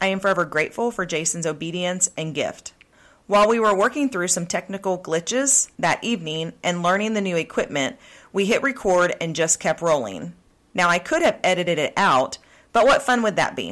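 On a very clean recording with a silent background, a woman speaks with an American accent and a normal speaking voice. Her pitch is medium, her intonation lively, and her pace fairly quick. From Oklahoma. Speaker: podcast host. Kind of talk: casual interview chat.

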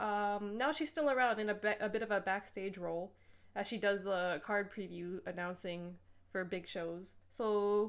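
Her pace is moderate. The voice belongs to a woman. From Canada. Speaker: podcast co-host. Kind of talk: casual chat.

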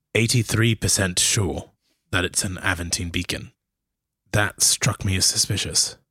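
A man speaks with a bright, sharp tone and fairly even intonation. The sound is dry and close with no echo. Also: moderate pace. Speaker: actual play player. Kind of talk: actual play storytelling.

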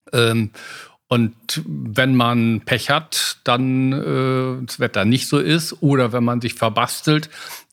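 A man's voice at a medium pitch. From western Germany (Westphalia). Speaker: aviation expert. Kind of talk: interview conversation. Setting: in-person recording in a room in Hamburg.

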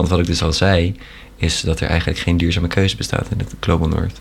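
A man talks fairly quickly in a very deep, low pitch, with noticeable background noise behind him. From Netherlands. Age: 20s. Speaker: university student. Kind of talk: casual chat.

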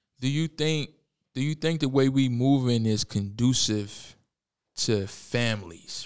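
Big swings in loudness and ordinary pitch variation in a very clean recording with a silent background. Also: man. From Richmond, Virginia (East End). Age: 20s. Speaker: podcast host. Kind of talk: casual chat. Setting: studio.

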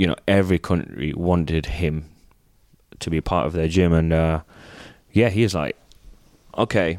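A man with an English accent, very deep and low in pitch, at a moderate pace with long, frequent pauses, in a dry, close sound with no echo. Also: ordinary pitch variation, very clean recording, silent background. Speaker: retired gymnast and coach. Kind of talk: casual chat.

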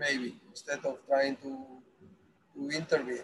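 Fairly slow and fairly high, a man with a Spanish accent speaks in a bright, sharp tone with fairly even intonation. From Spain. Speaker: football academy director. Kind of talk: interview. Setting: on a bus. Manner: halting.

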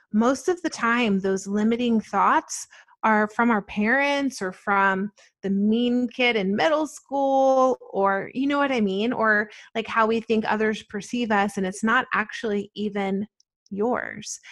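A woman with a fairly high pitch and an American accent speaks in an unremarkable speaking voice with ordinary pitch variation against a quiet background. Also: fairly slow pace. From New Jersey and Atlanta, US. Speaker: spiritual shop owner. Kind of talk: interview.

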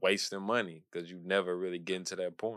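Over a very clean recording with a silent background, a man talks at a fairly quick pace in a very deep, low pitch with a bright, sharp tone. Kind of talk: casual chat.

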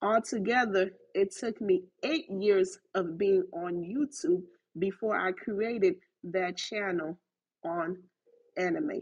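Speaking at a very slow pace, a woman uses a medium pitch with ordinary variation. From Haitian-American, US South. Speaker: podcaster and YouTube creator. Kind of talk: casual solo podcast talk. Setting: live Clubhouse recording. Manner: direct, concise.

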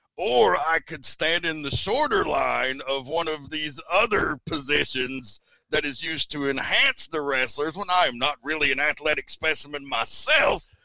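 A man with an American accent has an unremarkable speaking voice, a fairly high pitch, and ordinary pitch variation. He speaks at a moderate pace with hardly any pauses, in a dry, close sound with no echo. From Tennessee, US South. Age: 40s. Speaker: wrestling announcer and commentator. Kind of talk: casual interview chat.

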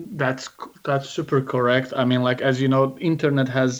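A man with an Azerbaijani accent speaks at a fairly quick pace over a quiet background. His medium pitch holds a fairly even intonation. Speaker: startup investor and founder. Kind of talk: interview. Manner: halting.

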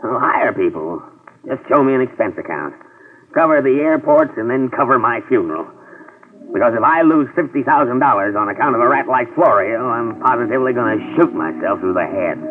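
Putting on a whiny character voice, a man speaks at a moderate pace. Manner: gloomy, whining, melodramatic.

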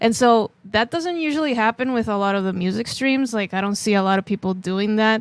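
In a very clean recording with a silent background and a dry, close sound with no echo, a woman with a plain, everyday voice speaks at a fairly high pitch with ordinary pitch variation and hardly any pauses. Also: fairly quick pace. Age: 30s. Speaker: drummer and streamer. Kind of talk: casual interview.

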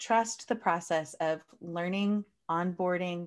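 In an ordinary speaking voice, a woman with an American accent talks at a fairly low pitch with ordinary pitch variation, on a very clean recording with a silent background. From United States. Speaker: coach and speaker. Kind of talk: interview, conversational.

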